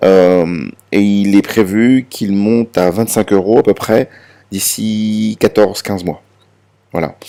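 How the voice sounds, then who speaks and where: Very slowly, a man speaks in a fairly low, dark, mellow voice with fairly even intonation. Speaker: crypto promoter. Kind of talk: presentation. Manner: halting, many fillers and repetitions.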